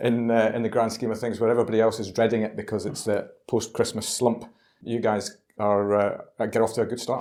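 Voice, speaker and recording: A man with a medium-pitched voice speaks at a fairly quick pace in a flat monotone, his tone dark and mellow. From Scotland. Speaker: podcast host. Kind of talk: interview podcast. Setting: in person at a London members club.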